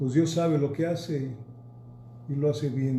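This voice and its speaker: A man speaks fairly slowly, fairly high in pitch, with fairly even intonation. Audible room echo and noticeable background noise accompany him. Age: 70s. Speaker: pastor and Bible teacher. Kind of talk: church history lecture. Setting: recorded at home.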